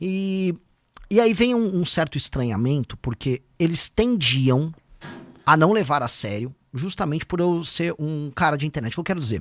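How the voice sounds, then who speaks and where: This man has a fairly high pitch and very wide pitch swings, recorded with a dry, close sound and no echo. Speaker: politician, presidential pre-candidate. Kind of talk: podcast interview. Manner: fast.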